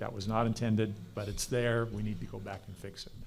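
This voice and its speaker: Audible room echo around a fairly quick male voice at a medium pitch. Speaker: panel moderator. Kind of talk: conference panel presentation. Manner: fast.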